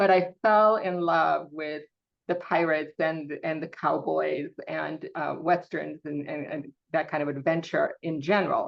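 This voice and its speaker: A woman talks at a fairly slow pace. She speaks with a Romanian accent. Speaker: science fiction author. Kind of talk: interview. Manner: halting, many fillers.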